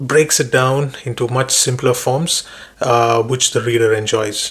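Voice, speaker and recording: In a Keralan accent, a man talks at a fairly slow pace with medium pitch and fairly even intonation. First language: Malayalam. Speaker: book reviewer. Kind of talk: book summary talk. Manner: hesitant with fillers.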